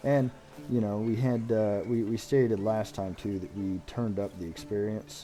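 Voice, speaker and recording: Music sounds in the background as a man speaks at a fairly low pitch. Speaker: gaming streamer. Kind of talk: live gameplay commentary. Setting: live stream.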